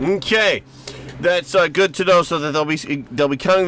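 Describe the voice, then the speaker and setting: This man speaks with a Rochester accent against noticeable background noise. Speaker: radio host. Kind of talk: radio interview. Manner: halting, many fillers.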